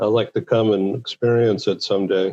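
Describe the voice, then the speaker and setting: A man speaks with an American accent at a medium pitch. His pace is moderate and his intonation monotone and flat. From Boston, Massachusetts. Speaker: talk show host. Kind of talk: interview.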